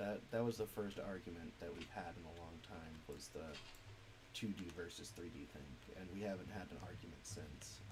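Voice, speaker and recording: Somewhat breathy, a man speaks at a moderate pace in a fairly low pitch. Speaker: streamer and indie game developer. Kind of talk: casual gaming stream chat. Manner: hesitant, many fillers.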